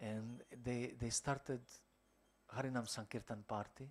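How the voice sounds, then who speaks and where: A man at a moderate pace, in a Croatian accent. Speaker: monk lecturer. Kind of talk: lecture. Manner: halting.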